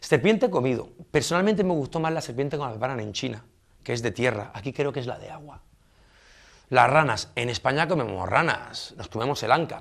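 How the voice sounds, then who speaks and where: A man with a plain, everyday voice and a fairly high pitch talks fairly quickly with lively intonation and big swings in loudness over a quiet background. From southern Spain, Almería; southern Spain. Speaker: expatriate interviewee; interviewee. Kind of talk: interview. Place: studio.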